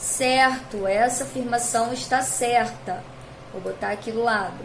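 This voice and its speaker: A woman's fairly high voice at a fairly slow pace, with noticeable background noise and audible room echo. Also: fairly even intonation. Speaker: school science teacher. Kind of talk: recorded video lesson.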